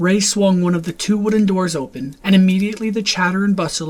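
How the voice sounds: Delivered in a natural reading voice, the speech keeps a fairly even intonation.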